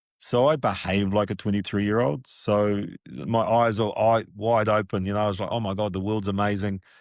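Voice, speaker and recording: In a normal speaking voice, a man talks at a fairly quick pace and a fairly low pitch with fairly even intonation against a quiet background. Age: 60s. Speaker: sports media producer and executive. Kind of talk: casual interview.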